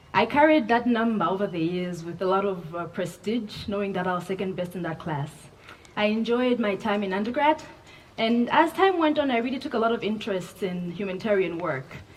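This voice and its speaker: Over noticeable background noise, a woman talks at a fairly quick pace with lively intonation. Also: medium pitch for a woman. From Malawi. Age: 20s. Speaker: keynote speaker, development professional. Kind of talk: graduation keynote speech. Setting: graduation ceremony with audience.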